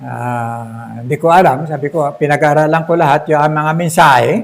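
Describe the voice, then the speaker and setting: Here a man speaks at a very slow pace, fairly high-pitched, with ordinary pitch variation. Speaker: pastor. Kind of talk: sermon. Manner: loud.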